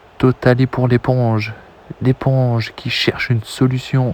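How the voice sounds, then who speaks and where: A soft-spoken man's medium-pitched voice, calm in tone and monotone in intonation, with a dry, close sound and no echo. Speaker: video game football commentator. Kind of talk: live commentary. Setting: at home, late at night. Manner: soft-spoken, calm.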